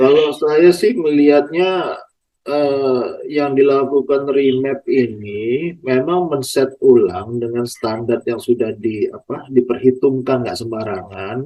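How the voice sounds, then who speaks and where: A man speaks at a very slow pace. His voice sits at a medium pitch with ordinary pitch variation. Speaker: podcast host, plantation traction staff. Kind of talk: casual interview questions.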